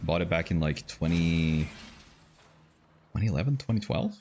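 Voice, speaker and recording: A man with a non-native accent talks at a moderate pace in a very deep, low pitch. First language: not English. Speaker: vtuber game streamer. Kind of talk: casual gameplay chat. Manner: halting, many fillers.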